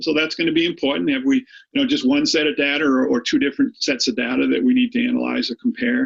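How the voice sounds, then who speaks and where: Very wide pitch swings mark this man with an American accent. He talks at a very fast pace. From Boston, Massachusetts. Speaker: high school statistics teacher. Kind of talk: lecture. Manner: hesitant, many fillers and repeats.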